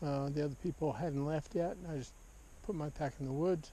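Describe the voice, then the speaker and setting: Somewhat breathy, a man with a fairly high pitch and a dark, mellow tone talks at a moderate pace with ordinary pitch variation. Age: 70s. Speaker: hiker and angler vlogger. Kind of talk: outdoor vlog narration. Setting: outdoors on a mountain hike. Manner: casual with frequent hesitations.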